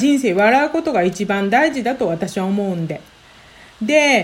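A woman's voice with very wide pitch swings. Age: 40s. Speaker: healer and podcaster. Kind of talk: solo podcast monologue. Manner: fast when flustered.

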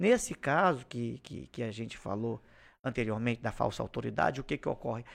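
Vocal fry runs through a man's voice on a very clean recording with a silent background. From Acre, Brazil (Xapuri). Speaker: police chief, former public security secretary. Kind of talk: interview.

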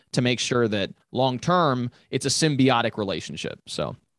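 A normal speaking voice from a man, medium in pitch with ordinary pitch variation, at a moderate pace against a quiet background. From Europe (Italy, Germany, Belgium), moved to US at 14. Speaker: commercial real estate agent. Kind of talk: podcast interview.

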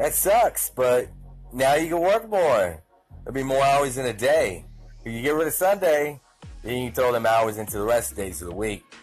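An upbeat man at a moderate pace, pitch swinging very widely, music in the background. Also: medium pitch for a man. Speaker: podcast host. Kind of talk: casual, slangy, some profanity. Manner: casual, rambling, upbeat.

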